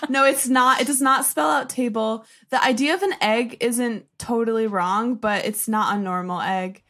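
This woman talks with a bright, sharp tone and lively intonation at a fairly high pitch. Her American accent moves at a moderate pace with hardly any pauses. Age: 20s. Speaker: social media creator. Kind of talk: casual chat.

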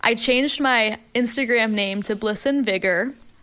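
Her tone bright and sharp, a woman with a fairly high pitch speaks at a fairly slow pace. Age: 20s. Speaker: personal trainer and fitness influencer. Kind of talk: casual chat. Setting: studio.

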